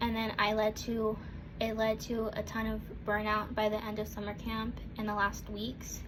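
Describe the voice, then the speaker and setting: A woman with a fairly high pitch talks as audible room echo and noticeable background noise surround her. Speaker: student. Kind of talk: class speech.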